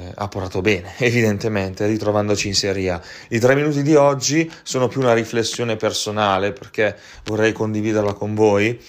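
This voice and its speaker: Ordinary pitch variation and a moderate pace in a man's voice. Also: very clean recording, silent background. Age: 20s. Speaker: football podcast host and sports journalist. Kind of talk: personal reflection monologue. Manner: hesitant, many fillers.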